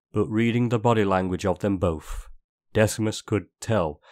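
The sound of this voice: Over a quiet background, the reading voice sounds unforced.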